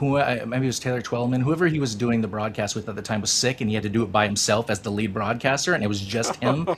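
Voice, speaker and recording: The speech runs at a very fast pace with hardly any pauses and ordinary pitch variation over noticeable background noise. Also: man. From United States. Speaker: soccer podcast host. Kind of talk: casual chat.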